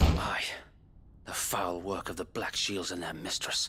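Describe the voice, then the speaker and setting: A man puts on a character voice, raspy and very deep, speaking at a fairly slow pace. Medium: video game. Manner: plain-spoken, blunt.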